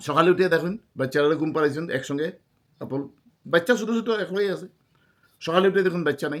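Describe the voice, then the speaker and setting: The man talks in a high pitch, with ordinary variation in it. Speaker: vlogger. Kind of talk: storytelling monologue.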